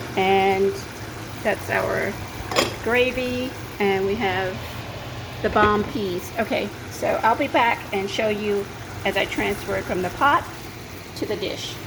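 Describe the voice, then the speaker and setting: Long, frequent pauses break up speech with ordinary pitch variation, heard with audible room echo and noticeable background noise. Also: woman, medium pitch for a woman. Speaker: cooking show host. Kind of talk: cooking tutorial. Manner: fast.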